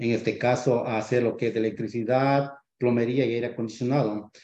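Talking at a fairly quick pace, a man with a medium pitch has a dark, mellow tone and monotone, flat intonation. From Ecuador. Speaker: real estate investor, former HVAC technician. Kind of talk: podcast interview.

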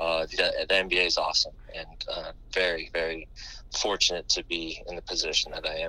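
Someone with an American accent speaks at a moderate pace amid noticeable background noise. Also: man. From US West Coast, San Diego California. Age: 30s. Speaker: basketball assistant coach. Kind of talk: interview. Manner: halting, many fillers and repeated words.

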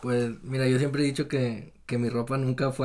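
Spoken with a Mexican accent, the voice moves at a moderate pace. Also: man. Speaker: podcast guest. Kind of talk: casual chat.

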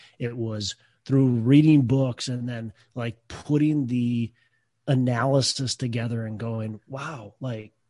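A man speaks very slowly in a medium pitch with a dark, mellow, somewhat breathy tone and fairly even intonation. The sound is dry and close, with no echo. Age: 30s. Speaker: real estate investor, former shop teacher. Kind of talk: interview.

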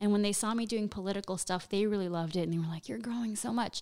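A woman talks with ordinary pitch variation. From Nicaraguan-American family. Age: 20s. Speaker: stand-up comedian. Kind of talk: casual interview chat. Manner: animated.

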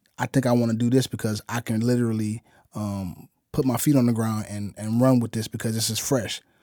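A man's plain, everyday voice at medium pitch, with an American accent, a moderate pace and fairly even intonation. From Chicago. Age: 30s. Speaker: musician and music producer. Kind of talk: casual interview chat.

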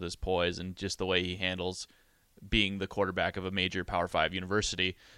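A man speaks at a very deep, low pitch and a fairly quick pace, in a bright, sharp tone. The recording is very clean, with a silent background. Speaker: producer. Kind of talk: casual sports radio chat.

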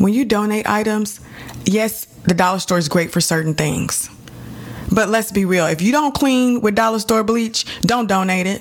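Over noticeable background noise, a woman speaks at a moderate pace and a medium pitch, with ordinary pitch variation and very even loudness. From Texas, Dallas. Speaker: podcast host. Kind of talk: solo podcast monologue. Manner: chatty.

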